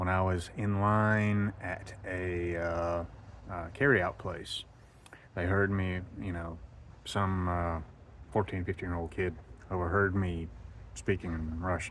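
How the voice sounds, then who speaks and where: In an American accent, a man speaks with a very deep, low pitch and fairly even intonation. His pace is very slow, with long, frequent pauses. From United States. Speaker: travel vlogger. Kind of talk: casual monologue vlog. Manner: hesitant, many fillers.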